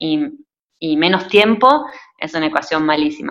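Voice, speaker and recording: A woman talks in a normal speaking voice at a moderate pace, with ordinary pitch variation. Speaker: cinematographer. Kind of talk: interview.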